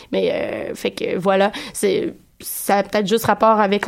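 Speaking in a monotone, flat intonation, a woman with a medium-pitched voice keeps a moderate pace. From Quebec City. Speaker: radio columnist. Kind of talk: casual radio chat. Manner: halting, many repetitions.

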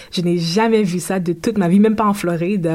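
A woman's fairly quick speech, fairly even in intonation, amid noticeable background noise. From Haiti, then Florida from age 10. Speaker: university student. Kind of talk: interview. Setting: studio.

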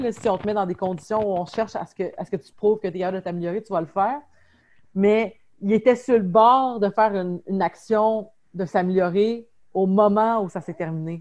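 At a fairly quick pace broken by long, frequent pauses, a woman speaks at medium pitch with ordinary pitch variation. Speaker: podcast host. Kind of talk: casual chat. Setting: video call. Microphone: unstable internet connection, lag.

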